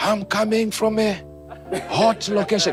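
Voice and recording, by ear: A put-on character voice, fairly high and shrill, flat and monotone at a moderate pace, over clear background music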